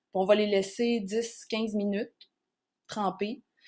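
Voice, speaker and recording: Someone with a Quebec accent speaks at a fairly slow pace on a very clean recording with a silent background. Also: woman. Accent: Québécois French. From Quebec, Charlevoix region. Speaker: naturotherapist presenting on herbal plants. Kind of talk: educational workshop talk. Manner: casual, with frequent hesitations.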